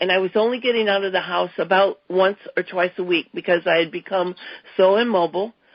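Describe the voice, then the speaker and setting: A woman talks at a moderate pace with a medium pitch. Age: 60s. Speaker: customer giving a product testimonial. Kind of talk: testimony. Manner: halting, with fillers and restarts.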